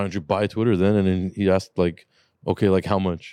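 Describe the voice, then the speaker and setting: This man talks at a very fast pace in a dark, mellow tone. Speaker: car shop owner and podcast host. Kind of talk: casual chat. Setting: studio. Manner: joking, profane.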